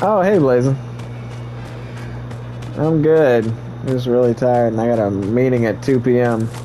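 Over music in the background, a man speaks fairly slowly with ordinary pitch variation. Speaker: gamer streamer. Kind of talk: gaming commentary. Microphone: headset.

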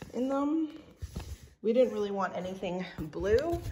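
Lively intonation from a woman at a moderate pace, with noticeable background noise. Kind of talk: casual vlog chat. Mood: disappointed at missing rollers. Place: home room. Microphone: phone near.

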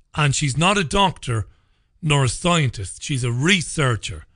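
Against a quiet background, a man with a fairly high pitch talks at a fairly slow pace with lively intonation. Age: 40s. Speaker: radio host. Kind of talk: angry rant. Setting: studio. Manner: indignant, emphatic, sarcastic. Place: studio.

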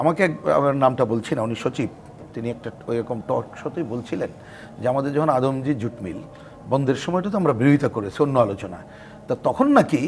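A man talks with lively intonation while noticeable background noise carries on behind him. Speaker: left-wing party politician. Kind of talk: talk show interview.

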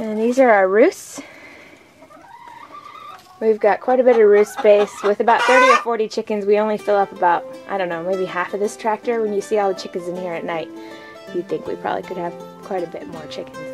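A woman speaks at a fairly quick pace with ordinary pitch variation and big swings in loudness, clear music playing in the background. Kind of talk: casual tour narration. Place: farm machine. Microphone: phone near.

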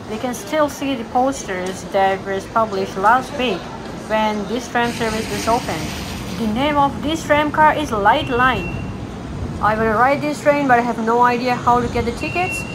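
There is noticeable background noise as a woman speaks with ordinary pitch variation. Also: moderate pace. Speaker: travel vlogger. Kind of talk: casual vlog chat. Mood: cheerful, curious. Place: street. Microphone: phone near.

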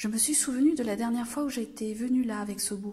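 In a high voice, a woman speaks with ordinary pitch variation. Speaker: library storyteller. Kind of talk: children's story reading.

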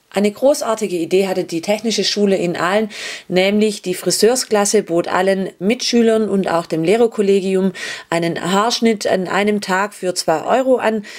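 A woman speaks at a moderate pace with a medium pitch, a slightly mellow tone, ordinary pitch variation and few pauses.

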